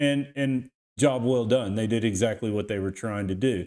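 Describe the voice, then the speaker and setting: Recorded very cleanly against a silent background, with a dry, close sound and no echo, a man with a Texas accent speaks at a moderate pace in a fairly low pitch with ordinary pitch variation. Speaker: crypto YouTuber and team roper. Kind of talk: market analysis tutorial. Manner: casual, conversational; halting with repetitions.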